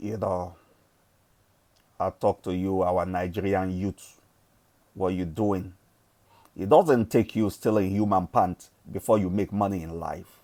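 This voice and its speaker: Long, frequent pauses break up this man's fairly slow speech. His very deep, low voice has a dark, mellow tone and fairly even intonation. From Nigeria. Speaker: forex trading influencer. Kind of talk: motivational rant.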